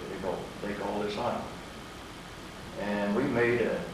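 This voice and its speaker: There is noticeable background noise as a man with an American accent speaks at a fairly slow pace. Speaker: war veteran. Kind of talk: interview answer.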